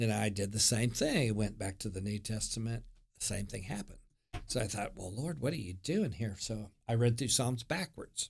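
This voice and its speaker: A man talks at a moderate pace with a medium pitch. His voice is somewhat breathy, with ordinary pitch variation. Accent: American. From Oklahoma, US. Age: 60s. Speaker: former pastor and youth director. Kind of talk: casual interview chat. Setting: studio.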